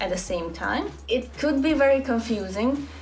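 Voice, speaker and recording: A woman with a Hungarian accent talks at a moderate pace, with music in the background and audible room echo. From Hungary. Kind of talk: casual vlog talk.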